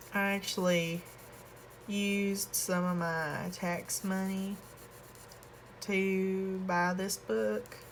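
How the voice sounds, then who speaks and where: A soft-spoken woman with fairly even intonation, amid audible room echo. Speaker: coloring hobby youtuber. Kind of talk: casual chat while coloring. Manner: quiet, soft-spoken; casual, with fillers.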